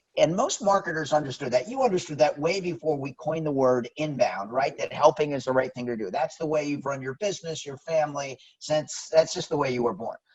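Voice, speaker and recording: A man at a fairly quick pace and fairly high pitch, with ordinary pitch variation and hardly any pauses. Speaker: company director and author. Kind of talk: interview. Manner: fast; animated.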